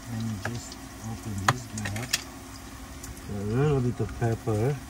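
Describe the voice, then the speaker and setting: Loud background noise sits behind a man's dry voice with no echo. He speaks at a fairly slow pace with fairly even intonation. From Hungary. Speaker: vlogger. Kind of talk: casual vlog talk to camera. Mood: cheerful, relaxed. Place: home room. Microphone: phone near.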